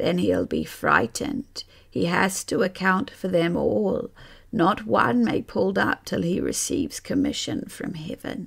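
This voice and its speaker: Raspy and at a middle pitch, the put-on character voice moves at a fairly slow pace. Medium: read story. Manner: knowing, instructive.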